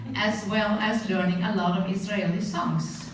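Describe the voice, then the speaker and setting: There is noticeable background noise behind this woman. She talks at a moderate pace with monotone, flat intonation. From Norway. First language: Norwegian. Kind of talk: memorial eulogy speech.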